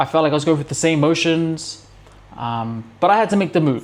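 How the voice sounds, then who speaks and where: A man speaks with a New Zealand accent. His pitch is fairly high. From New Zealand, Auckland. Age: 30s. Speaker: self-improvement vlogger. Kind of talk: casual motivational talk to camera. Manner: casual, conversational with many fillers.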